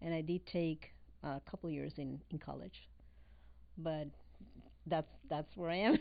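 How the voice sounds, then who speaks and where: This speaker has a Spanish accent and stops often for long pauses. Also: woman, fairly slow pace. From Venezuela. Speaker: real estate broker and business owner. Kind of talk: casual interview.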